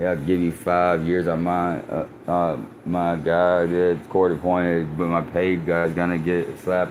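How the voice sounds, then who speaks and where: A mumbling man with a very deep, low voice, monotone, flat intonation, fairly slow pace and audible room echo. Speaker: livestreamer. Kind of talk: casual live stream monologue.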